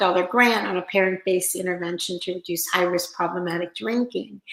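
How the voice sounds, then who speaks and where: Woman with a Pittsburgh accent, medium pitch, moderate pace. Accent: Pittsburgh, Pennsylvania. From Pennsylvania, Pittsburgh area. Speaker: interventionist. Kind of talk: interview.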